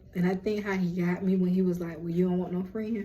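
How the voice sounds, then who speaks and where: A woman talks at a very fast pace. Audible room echo surrounds her voice. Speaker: lifestyle and spirituality vlogger. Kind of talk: casual chat. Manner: animated.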